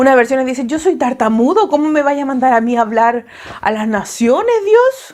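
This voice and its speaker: A woman speaks at a moderate pace in a high voice. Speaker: preacher. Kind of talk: sermon. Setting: at home, online sermon. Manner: hesitant, filler words.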